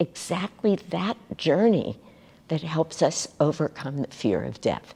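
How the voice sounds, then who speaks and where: A woman's fairly low voice, dark and mellow in tone, very slow in pace, with lively intonation. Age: 70s. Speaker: spiritual teacher. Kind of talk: spiritual talk.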